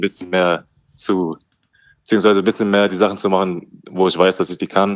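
Very deep and low, a man's voice rushes at a very fast pace in a flat monotone, recorded very cleanly against a silent background. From Hesse, Germany (Wetzlar). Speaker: professional basketball player. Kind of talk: casual interview.

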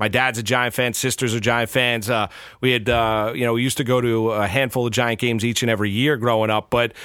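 In a New York accent, the speaker goes at a fairly quick pace with monotone, flat intonation. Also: man. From New York, Rockland County. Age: 40s. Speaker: sports radio and TV host. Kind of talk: casual interview. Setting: studio.

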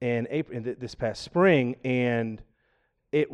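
In a plain, everyday voice, a man with an American accent speaks at medium pitch with ordinary pitch variation, the sound dry and close with no echo over a quiet background. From US South, Georgia. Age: 40s. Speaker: podcast guest, aspiring podcaster and powerlifter. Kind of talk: casual chat. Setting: studio, live-streamed podcast.

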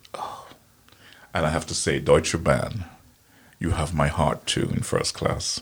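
A man whispers at a fairly slow pace. Long pauses come often. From Guyana. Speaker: Guyanese commentator on environment and tourism. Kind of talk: casual interview. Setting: studio.

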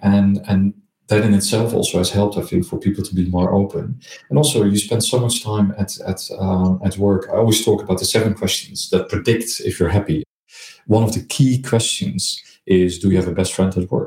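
A man with a Dutch accent speaks fairly quickly at a fairly low pitch, in a dark, mellow tone. His voice is somewhat breathy, with ordinary pitch variation. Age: 50s. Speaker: marketing executive. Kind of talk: interview.

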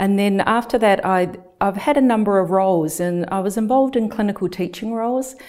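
Her dark, mellow tone sits at a medium pitch as this woman speaks at a fairly quick pace with ordinary pitch variation. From New Zealand. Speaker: nurse researcher and lecturer. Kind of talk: interview.

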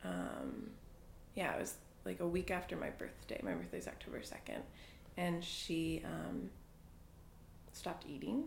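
A woman with an American accent talks at a fairly slow pace, leaving long, frequent pauses. Audible room echo surrounds her voice. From New England (Boston and New Hampshire). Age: 20s. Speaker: interviewee. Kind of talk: casual chat.

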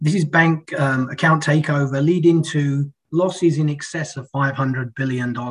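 Somewhat breathy, a man's voice sits at a fairly high pitch. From UK. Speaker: financial technology strategist. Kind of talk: podcast interview.

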